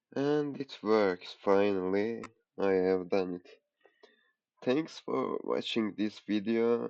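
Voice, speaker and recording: Speaking at a very slow pace with long, frequent pauses, a man with a non-native accent uses lively intonation. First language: not English. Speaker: programming tutorial creator. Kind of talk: coding tutorial. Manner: halting, thinking aloud.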